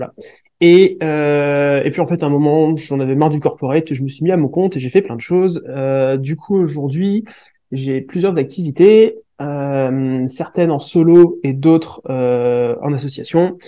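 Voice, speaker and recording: A man with a fairly high pitch and a dark, mellow tone speaks fairly slowly with ordinary pitch variation. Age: 30s. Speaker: project management expert and entrepreneur. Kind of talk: interview.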